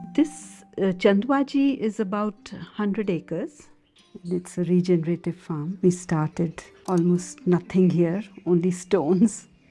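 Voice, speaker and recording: Over music in the background, a woman talks at a fairly slow pace with a medium pitch and ordinary pitch variation. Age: 60s. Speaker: organic farmer and botanist. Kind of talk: documentary interview.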